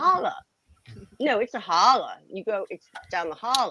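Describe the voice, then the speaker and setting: A female-sounding voice performs a put-on character with a drawling Virginia accent and a high pitch. It moves at a moderate pace with very wide pitch swings. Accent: rural Virginia. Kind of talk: casual, local.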